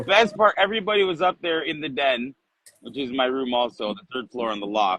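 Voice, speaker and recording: A loud man at a medium pitch, animated in tone, with very wide pitch swings and a fairly quick pace. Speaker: shaving products shop host. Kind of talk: casual chat. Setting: outdoors.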